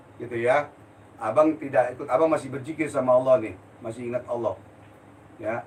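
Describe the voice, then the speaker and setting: Noticeable background noise accompanies a man whose speech runs at a fairly quick pace. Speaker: spiritual healer. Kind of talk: live-stream Q&A. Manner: blunt, forceful; heated.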